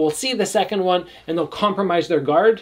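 Against a quiet background, a high-pitched man talks at a fairly quick pace with ordinary pitch variation. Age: 30s. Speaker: kickboxer and youtuber. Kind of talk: fight breakdown commentary. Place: home room.

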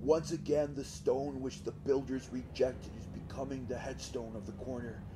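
Over music in the background, a man speaks at a medium pitch with big swings in loudness. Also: moderate pace. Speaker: audiobook reader. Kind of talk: audiobook reading. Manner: monotonous.

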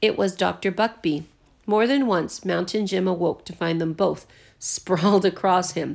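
A text is read aloud in a natural voice. Its pitch shows ordinary variation.

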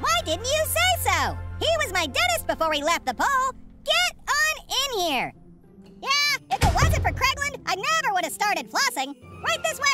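A put-on character voice at a moderate pace over loud background music. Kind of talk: comic overacting. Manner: indignant, shouty, then friendly.

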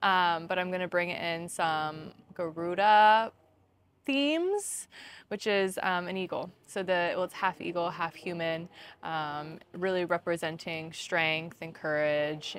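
A woman speaks at a very slow pace and a fairly low pitch, with fairly even intonation. The sound is dry with no echo, and there is light background noise. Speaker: yoga teacher. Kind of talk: yoga class instruction. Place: garden.

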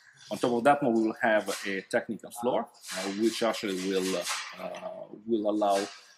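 A man speaks at a moderate pace with fairly even intonation. Background noise is noticeable throughout. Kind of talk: guided tour explanation. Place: factory.

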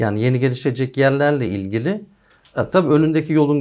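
Talking at a fairly quick pace, a man with a normal speaking voice has a medium pitch and ordinary pitch variation. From Denizli, western Turkey. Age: 40s. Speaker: architect. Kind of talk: interview.

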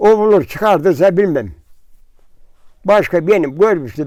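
High-pitched for a man, this male voice is heard here. Its pitch varies in an ordinary way. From Central Anatolia, Turkey. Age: 80s+. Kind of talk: interview answer. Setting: outdoors.

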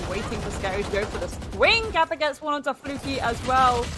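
Amid noticeable background noise, a woman sounds excited, speaking at a fairly quick pace with ordinary pitch variation. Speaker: esports commentator. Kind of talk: live esports commentary. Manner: fast, excited play-by-play.

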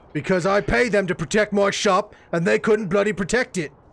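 A man puts on a gruff character voice pitched high. He speaks at a fairly quick pace with very even loudness. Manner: angry, gruff, cursing.

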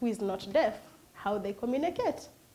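A woman's voice with ordinary pitch variation. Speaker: host. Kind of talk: interview introduction. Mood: warm, welcoming. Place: studio. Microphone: lapel.

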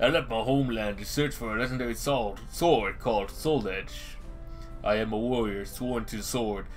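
Over clear background music, a man puts on a gruff, strained character voice at medium pitch, speaking at a moderate pace. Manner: stoic, solemn.

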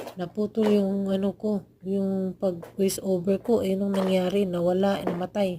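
A woman speaks in a monotone, flat way at a fairly slow pace, with very even loudness and hardly any pauses, over noticeable background noise. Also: medium pitch for a woman. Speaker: vlogger. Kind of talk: casual vlog voice-over.

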